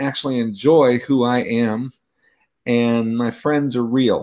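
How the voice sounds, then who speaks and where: With fairly even intonation and medium pitch, a man talks in an ordinary speaking voice. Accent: American. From California. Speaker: author. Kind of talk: panel discussion. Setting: video call.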